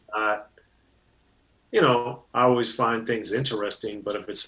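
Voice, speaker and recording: A man keeps a moderate pace over noticeable background noise. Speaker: hip-hop journalist. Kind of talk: interview answer. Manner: soft-spoken.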